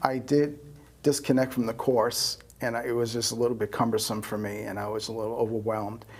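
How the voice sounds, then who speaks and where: In a New York accent, a man speaks at a moderate pace with fairly even intonation. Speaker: astrologer. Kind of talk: interview. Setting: studio.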